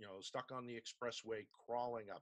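Over a quiet background, a man speaks at a moderate pace in a bright, sharp tone. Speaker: radio reporter. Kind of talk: interview answer. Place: home room. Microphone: video call.

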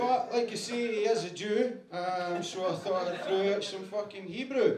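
Loud background noise surrounds the recording. A man speaks at a fairly slow pace. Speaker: comedian in a roast battle. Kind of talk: stand-up roast insults. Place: stage.

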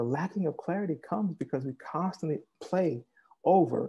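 With ordinary pitch variation, this man's voice comes out somewhat breathy. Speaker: meditation teacher. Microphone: earbuds.

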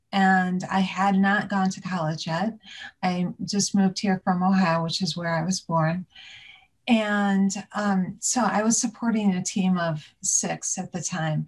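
A woman speaks at a fairly slow pace, sounding somewhat breathy. The background is quiet. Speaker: interview guest. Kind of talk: interview answer. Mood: warm, amused. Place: home room. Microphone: video call.

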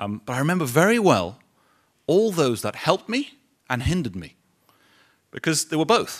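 A man with a London accent speaks at a moderate pace in a fairly high pitch, his pitch swinging very widely. Long, frequent pauses break up his speech against a quiet background. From London, England. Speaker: business executive; guest. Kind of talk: speech to audience. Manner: halting. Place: hall. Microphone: podium.

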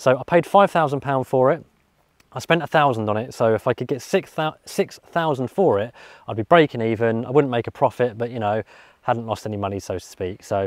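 Lively intonation from a man at a moderate pace, in a dry sound with no echo against a quiet background. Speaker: car vlogger. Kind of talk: casual vlog chat. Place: open country. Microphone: lapel.

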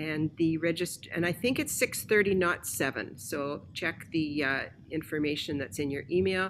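A woman with a fairly low pitch speaks at a fairly slow pace, her intonation lively. Vocal fry runs through her voice, and there is light background noise. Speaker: church announcer. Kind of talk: church announcements. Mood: warm, welcoming. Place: home room.

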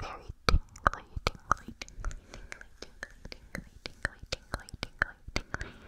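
A woman whispers softly, her words coming fairly slowly. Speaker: ASMR creator. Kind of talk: whispered ASMR chat. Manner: soft repeated whisper into the mic. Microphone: studio mic.

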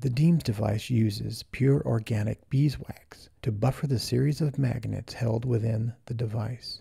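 With vocal fry, a man speaks at a medium pitch and moderate pace, his pitch varying in an ordinary way. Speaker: product presenter. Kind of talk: infomercial product narration.

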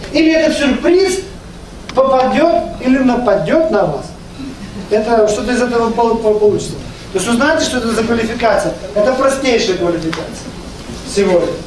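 A man with an extremely high pitch speaks in an animated tone with lively intonation at a moderate pace, leaving long, frequent pauses, amid audible room echo and noticeable background noise. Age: 50s. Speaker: network marketing leader; presenter. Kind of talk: business presentation. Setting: live event with microphone, audience. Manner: animated, persuasive. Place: meeting room. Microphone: camera far.

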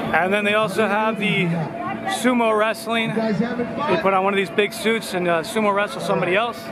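A man at a moderate pace, dry sound with no echo, crowd noise in the background. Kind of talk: casual vlog chat. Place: street. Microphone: phone near.

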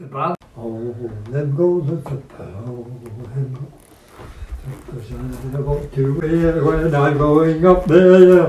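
A man's fairly high voice with a Glaswegian accent at a very slow pace, with long, frequent pauses, big swings in loudness, audible room echo and light background noise. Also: ordinary pitch variation. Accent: Glaswegian Scottish. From Scotland, Glasgow. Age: 80s+. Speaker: social media personality. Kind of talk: casual chat. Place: home room.

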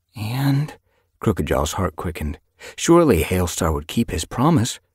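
The reading voice is unforced, and the background stays quiet.

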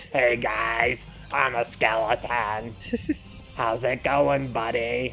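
Using a put-on character voice at a medium pitch, a man speaks at a very slow pace over clear background noise. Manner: cheerful, casual.

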